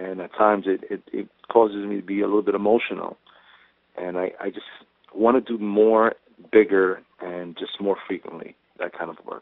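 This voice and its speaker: A fairly low-pitched man with a New York accent, moderate in pace and monotone, flat in intonation, with big swings in loudness and long, frequent pauses. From New York, Brooklyn (Sunset Park). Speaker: actor, police officer and Marine veteran. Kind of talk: interview. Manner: halting, with many repeated words.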